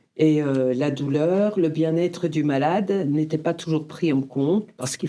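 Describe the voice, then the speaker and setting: This woman's dark, mellow tone comes at a fairly slow pace. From Franche-Comté, eastern France. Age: 60s. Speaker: end-of-life care volunteer. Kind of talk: podcast interview.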